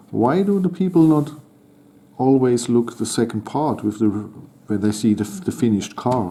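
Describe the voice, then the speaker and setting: Speaking at a fairly slow pace with a German accent, a man holds a medium pitch and a dark, mellow tone while his pitch swings very widely. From Germany. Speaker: toy model building channel host. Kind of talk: building tutorial commentary. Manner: halting.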